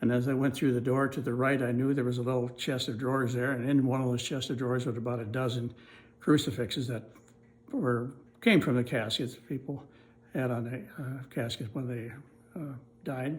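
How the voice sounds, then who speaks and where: A somewhat breathy man with an Upper Midwest accent, medium pitch and fairly quick pace. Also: fairly even intonation. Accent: Upper Midwest American. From US Midwest, northeast Iowa. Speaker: oral history narrator. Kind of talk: oral history recollection. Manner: halting, with frequent fillers.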